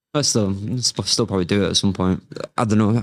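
A man with a Mancunian accent and fairly low pitch speaks at a very fast pace. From Manchester, northern England. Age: 20s. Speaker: martial arts coach and MMA fighter. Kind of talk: casual interview.

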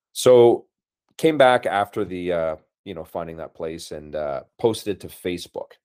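Over a very clean recording with a silent background, a man with a very deep, low pitch talks at a moderate pace, using lively intonation and big swings in loudness. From Canadian prairies, Brandon, Manitoba. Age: 50s. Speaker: martial arts instructor and photographer. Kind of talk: interview conversation.

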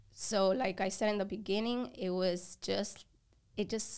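A woman speaks in a normal speaking voice at a medium pitch. Her intonation is fairly even, and the recording is very clean with a silent background. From a developing country, moved to the US at 10. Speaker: photography business owner. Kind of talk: casual interview. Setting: podcast studio.

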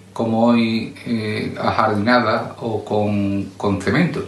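A man speaks at a medium pitch with fairly even intonation. Noticeable background noise and audible room echo surround his voice. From southern Jerez, Andalusia. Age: 50s. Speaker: local resident interviewee. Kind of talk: personal testimony. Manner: halting.

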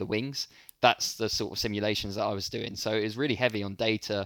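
This very clean recording has a silent background and a dry, close sound with no echo. A man speaks in a London accent. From London, England. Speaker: startup founder and CEO. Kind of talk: interview conversation.

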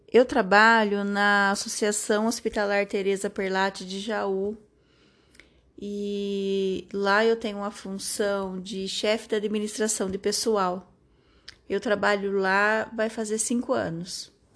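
Speaking at a very slow pace, a woman keeps a medium pitch and monotone, flat intonation. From Brazil, Jaú (São Paulo state interior). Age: 30s. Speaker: interviewee, mother, HR manager. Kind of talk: question-and-answer interview.

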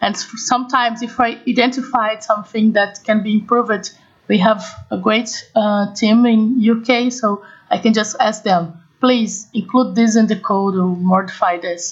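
A woman with a Portuguese accent talks at a fairly slow pace in a fairly high, somewhat breathy voice with fairly even intonation. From Brazil. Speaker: combustion engineering consultant. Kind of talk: interview. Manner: halting.

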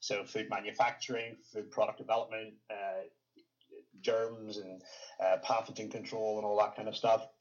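An unremarkable speaking voice from a man, medium in pitch, with fairly even intonation. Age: 30s. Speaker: fitness coach and former bodybuilder. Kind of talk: interview conversation.

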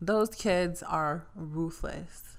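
Ordinary pitch movement marks a plain, everyday voice. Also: woman. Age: 20s. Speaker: podcast guest, friend of host. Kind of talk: casual chat.

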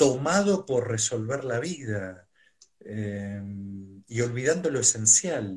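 Somewhat breathy, a man speaks at a very slow pace with long, frequent pauses and lively intonation. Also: medium pitch for a man. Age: 50s. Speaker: psychotherapist and mindfulness teacher. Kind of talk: live stream interview. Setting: video call from home.

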